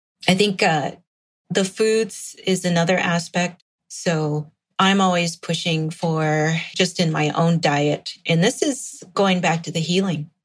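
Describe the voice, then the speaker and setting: A woman's fairly low, somewhat breathy voice with an American accent, at a very slow pace and with fairly even intonation. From Meskwaki settlement, central Iowa, US. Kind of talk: interview.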